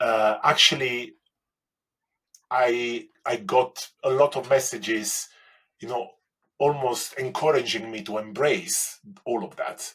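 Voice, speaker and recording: A man with an Italian accent, medium pitch and ordinary pitch variation, at a very slow pace with long, frequent pauses and big swings in loudness. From Italy. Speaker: baking competition winner. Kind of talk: interview. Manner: halting.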